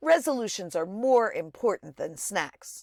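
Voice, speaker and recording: A female-sounding put-on character voice at a fairly high pitch moves at a moderate pace on a very clean recording with a silent background. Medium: read story.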